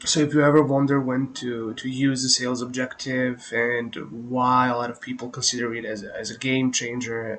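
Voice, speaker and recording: Noticeable background noise runs under a man's voice. He talks at a moderate pace and medium pitch with fairly even intonation. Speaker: digital marketing tutor. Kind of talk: tutorial. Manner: hesitant, many fillers.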